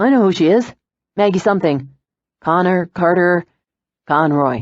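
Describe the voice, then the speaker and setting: In a put-on character voice, the speaker sounds husky at a middle pitch and moderate pace against a quiet background. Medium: read story. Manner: easygoing, joking.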